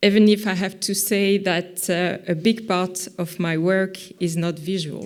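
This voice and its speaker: The woman's pace is fairly slow. She keeps a flat, monotone intonation. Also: medium pitch for a woman. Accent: French. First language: French. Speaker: visual artist. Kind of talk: conference talk. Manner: halting, many fillers.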